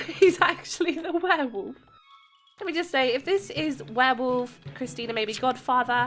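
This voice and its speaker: The voice is raised and projected, with lively intonation. Music plays in the background. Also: woman. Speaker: gaming YouTuber. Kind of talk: gameplay commentary.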